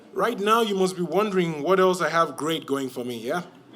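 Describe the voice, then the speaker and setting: A man speaks with a Cameroonian accent. His intonation is lively and his pace moderate. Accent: African (Cameroonian). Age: 20s. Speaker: storyteller. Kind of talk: live storytelling performance. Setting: stage with audience.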